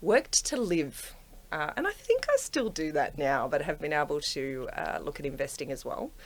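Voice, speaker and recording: The speaker has an Australian accent and keeps a moderate pace. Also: woman. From Australia, Penrith. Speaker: property investor, corporate professional. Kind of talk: casual interview chat.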